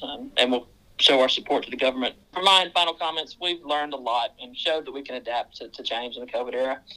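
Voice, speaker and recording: In a Southern US accent, the speaker talks at a very fast pace. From Mississippi, US South. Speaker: mine general manager. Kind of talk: casual interview chat.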